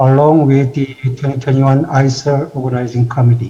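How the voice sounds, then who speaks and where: A man with a Korean accent and fairly even intonation. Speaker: institute president. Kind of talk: formal welcome speech. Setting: virtual conference.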